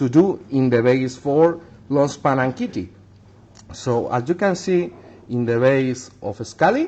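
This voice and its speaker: This man, with a non-native accent, talks at a fairly slow pace with long, frequent pauses, lively intonation, a medium pitch and a dark, mellow tone. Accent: non-native English speaker. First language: Spanish. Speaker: miniature painter. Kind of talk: tutorial. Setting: livestream. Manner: halting.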